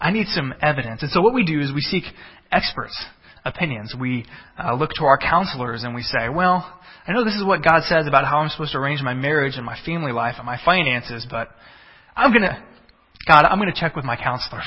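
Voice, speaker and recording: A fairly high-pitched man with a Texan accent at a fairly quick pace, lively in intonation, over noticeable background noise. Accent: Texan American English. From Texas. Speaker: pastor. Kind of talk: sermon. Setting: church with congregation.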